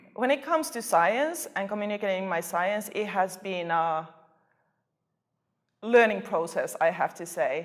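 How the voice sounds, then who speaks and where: With lively intonation and a medium pitch, a woman speaks fairly slowly, leaving long, frequent pauses. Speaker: postdoctoral plant researcher. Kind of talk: interview. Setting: conference.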